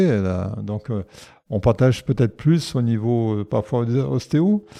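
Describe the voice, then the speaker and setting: A man's dark, mellow voice carries lively intonation. The sound is dry and close with no echo, over a quiet background. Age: 70s. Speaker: osteopath. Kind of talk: interview. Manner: halting.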